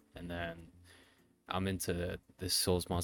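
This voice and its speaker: In a very clean recording with a silent background, a man speaks in a very deep, low pitch. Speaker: podcast co-host. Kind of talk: casual chat.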